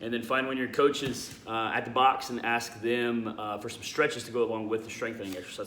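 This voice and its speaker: A man speaks at a very fast pace. Audible room echo and light background noise surround his voice. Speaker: CrossFit coach; fitness coach. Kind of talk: workout tutorial. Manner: casual, conversational. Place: garage. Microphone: phone near.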